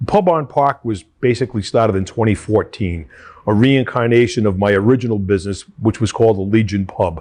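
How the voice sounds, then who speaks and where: Speaking at a fairly quick pace, a man with an American accent uses a fairly low pitch with ordinary pitch variation. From Rhode Island, US. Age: 60s. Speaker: small business owner. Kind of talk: pitch video for a funding application.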